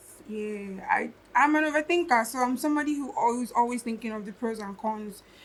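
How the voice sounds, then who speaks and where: Over noticeable background noise, a woman with a high voice talks at a fairly quick pace with ordinary pitch variation. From southern Nigeria. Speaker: musician. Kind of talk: casual chat.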